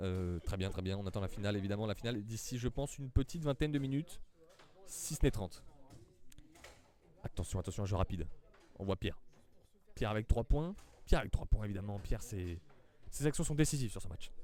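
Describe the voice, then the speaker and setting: Lively intonation and a dark, mellow tone come from a man who talks at a very fast pace yet with long, frequent pauses. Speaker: amateur foosball commentator. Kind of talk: live commentary. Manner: animated.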